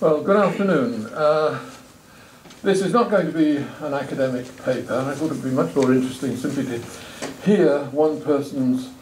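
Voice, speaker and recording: With an English accent, a man talks at a moderate pace and with lively intonation. Noticeable background noise and audible room echo are present. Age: 70s. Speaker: retired professor. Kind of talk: talk at a roundtable. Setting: stage with audience.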